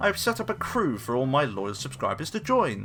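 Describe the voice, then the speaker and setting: Over music in the background, a man speaks with a British accent. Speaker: gaming YouTuber. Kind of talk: scripted game review narration; casual outro thanks. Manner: stuttering in places.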